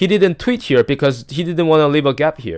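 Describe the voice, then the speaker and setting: Mumbling at a fairly quick pace, a man is heard on a very clean, silent-background recording with a dry, close sound and no echo. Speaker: stock market commentator. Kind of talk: screen-share market analysis. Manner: halting, many fillers and restarts; self-described mumbling.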